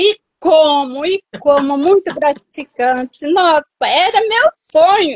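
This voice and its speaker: A woman speaks at a very slow pace with extremely high pitch and lively intonation, hardly pausing at all, in a dry, close sound with no echo. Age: 60s. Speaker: patient with tinnitus. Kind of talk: live consultation as patient. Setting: live video call. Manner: eager, repetitive.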